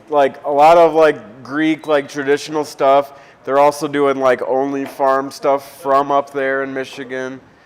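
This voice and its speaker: A fairly high-pitched man with an American accent speaks fairly slowly in a flat monotone, with noticeable background noise. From Ohio, Toledo area (Waterville). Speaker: cocktail and oyster bar owner. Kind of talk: casual chat.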